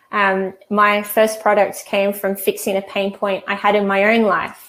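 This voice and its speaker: A woman talks at a medium pitch with an Australian accent. Her intonation is monotone and flat, at a fairly slow pace. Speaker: e-commerce trainer; host of a live chat. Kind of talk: live webinar tutorial. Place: home room. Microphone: earbuds.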